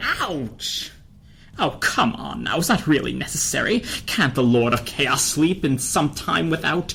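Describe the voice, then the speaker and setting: A put-on character voice with a low-to-middle pitch. It moves at a fairly slow pace over light background noise. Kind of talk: dramatic comic reading.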